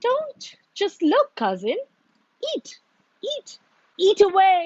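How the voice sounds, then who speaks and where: Using a put-on character voice, a woman squeaks at an extremely high pitch with very wide pitch swings. She speaks at a very slow pace. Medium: read story.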